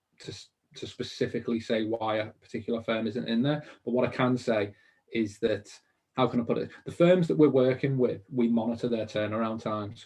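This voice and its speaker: Speaking fairly quickly in a Liverpool accent, a man uses a medium pitch with ordinary pitch variation. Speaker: mortgage industry business founder. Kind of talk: webinar interview. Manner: animated.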